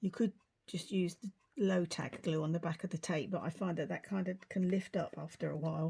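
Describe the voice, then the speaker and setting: A woman's somewhat breathy, dark and mellow voice at a fairly quick pace, with fairly even intonation. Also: fairly low pitch for a woman. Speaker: craft tutorial host. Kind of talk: tutorial. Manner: casual, chatty.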